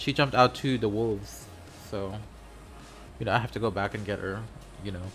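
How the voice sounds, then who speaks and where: Speaking in a non-native accent, a man talks at a medium pitch. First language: not English. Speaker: gaming content creator. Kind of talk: gameplay commentary. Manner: animated.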